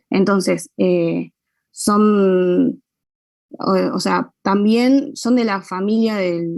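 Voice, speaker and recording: Here a woman talks at a medium pitch. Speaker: physiology class tutor. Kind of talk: online class discussion. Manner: hesitant, many fillers.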